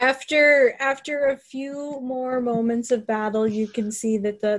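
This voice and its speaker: In a very clean recording with a silent background, a woman talks at a fairly slow pace with fairly even intonation. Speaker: game master of a tabletop role-playing podcast. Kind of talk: narrating a tabletop role-playing game. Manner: dramatic storytelling.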